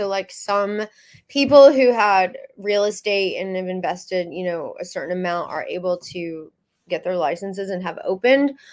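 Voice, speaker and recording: An American accent with ordinary pitch variation at a fairly slow pace, in a very clean recording with a silent background. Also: woman. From Texas. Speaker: magazine founder and publisher. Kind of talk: interview. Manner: hesitant, many fillers.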